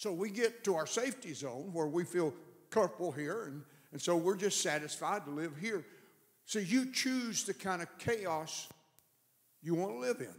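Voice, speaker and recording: Speaking at a moderate pace, a man uses a high-pitched voice with lively intonation. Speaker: preacher. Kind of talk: sermon. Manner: conversational, repeats words.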